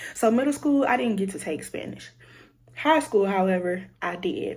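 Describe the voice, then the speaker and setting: Somewhat breathy, a woman with an American accent speaks at medium pitch with very wide pitch swings, and audible room echo surrounds her. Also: moderate pace. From Louisiana, US South. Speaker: content creator, college student. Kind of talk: casual vlog storytelling. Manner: casual, filler-heavy.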